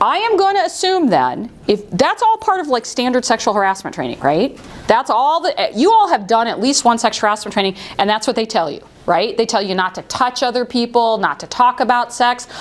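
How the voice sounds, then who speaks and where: Loud and animated, a woman speaks at a fairly quick pace with a high pitch and very wide pitch swings, over noticeable background noise. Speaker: workplace harassment trainer. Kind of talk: training seminar.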